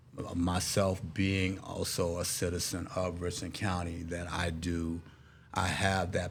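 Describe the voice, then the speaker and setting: In an American accent, a man speaks with a very deep, low pitch and a monotone, flat intonation. His voice is somewhat breathy, and the room echo is audible. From Texas, Dallas. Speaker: political candidate, navy veteran. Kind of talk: interview.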